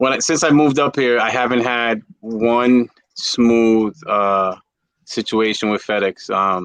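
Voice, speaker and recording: A man with a New York accent, medium pitch and ordinary pitch variation, at a fairly slow pace over a quiet background. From New York City (Bronx). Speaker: reptile breeder. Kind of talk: casual chat. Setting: livestream. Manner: halting.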